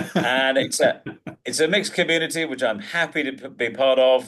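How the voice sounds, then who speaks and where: At a moderate pace, the speaker talks with vocal fry in a southern English accent. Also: man. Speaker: presentation skills coach and professional speaker. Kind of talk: interview. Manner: sarcastic.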